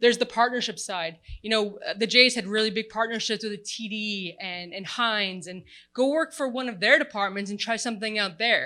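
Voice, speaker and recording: On a very clean recording with a silent background, a woman speaks in an animated, bright, sharp tone at fairly high pitch. Her pace is fairly quick, with ordinary pitch variation and big swings in loudness. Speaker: sports tech panelist. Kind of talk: panel discussion.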